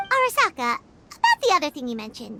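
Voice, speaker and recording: A squeaky, put-on character voice at a very fast pace with very wide pitch swings. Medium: video game. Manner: hesitant, stammering.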